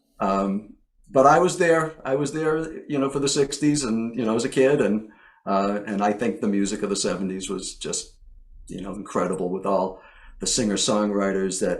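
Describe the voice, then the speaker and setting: A plain, everyday voice from a man, medium in pitch, with lively intonation and a moderate pace. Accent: American. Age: 60s. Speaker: songwriter. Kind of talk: interview.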